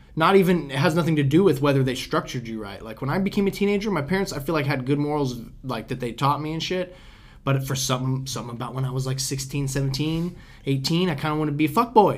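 Somewhat breathy and fairly high-pitched, a man speaks at a very fast pace with ordinary pitch variation. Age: 20s. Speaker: podcast host. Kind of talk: casual chat. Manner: animated.

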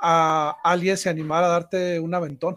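A man speaks in a high-pitched voice. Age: 40s. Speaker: podcast host. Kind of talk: interview.

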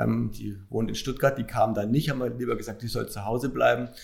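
Vocal fry runs through this man's medium-pitched voice. He talks at a fairly quick pace with ordinary pitch variation. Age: 40s. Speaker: hospital executive and marathon runner. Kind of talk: interview.

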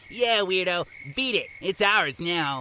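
A man's put-on character voice, high-pitched with lively intonation at a fairly slow pace. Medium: audio drama. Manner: goofy, rambling.

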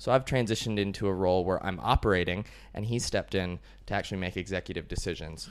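Very deep and low, a man's voice with vocal fry and an American accent races at a very fast pace with ordinary pitch variation, captured on a very clean recording with a silent background. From US, Colorado. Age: 20s. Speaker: business owner and digital nomad. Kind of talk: casual interview.

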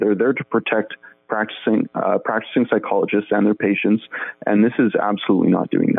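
Music plays in the background as a man talks. He has a Canadian accent and a fairly low pitch. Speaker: podcast host and editor. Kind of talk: interview.

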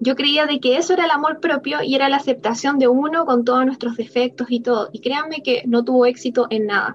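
Talking at a fairly quick pace, a woman uses a high pitch and ordinary pitch variation. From Chile. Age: 20s. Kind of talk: casual chat.

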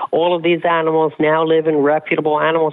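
The pace is fairly quick. Noticeable background noise sits behind the speech. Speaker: animal rights advocate. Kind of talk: radio interview.

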